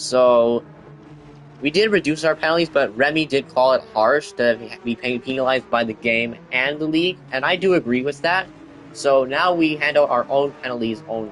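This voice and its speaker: Over music in the background, a man with a fairly high pitch speaks at a moderate pace with ordinary pitch variation. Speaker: sim racing league commentator. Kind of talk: live commentary. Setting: livestream. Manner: animated.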